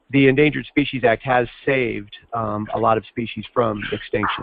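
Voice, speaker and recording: A man with fairly even intonation. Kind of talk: training session Q&A. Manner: loud.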